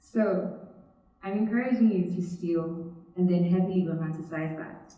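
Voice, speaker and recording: With audible room echo, a woman speaks at a moderate pace with fairly even intonation. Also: medium pitch for a woman. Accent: Nigerian. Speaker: student speaker. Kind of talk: TEDx talk.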